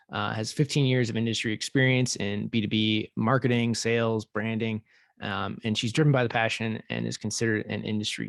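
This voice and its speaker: A man with a plain, everyday voice at a medium pitch and moderate pace, in a dry, close sound with no echo. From US West, central California. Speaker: podcast host. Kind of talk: reading guest introduction. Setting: video call.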